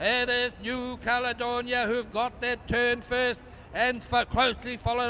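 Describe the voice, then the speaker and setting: A man's raised, projected voice, extremely high in pitch and flat in a monotone, with noticeable background noise. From New Zealand. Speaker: race commentator. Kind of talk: live commentary.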